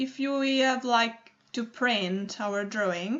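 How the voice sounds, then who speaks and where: A woman with an Italian accent speaks very slowly, her intonation lively. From Italy. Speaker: digital artist. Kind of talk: tutorial. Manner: halting, many fillers.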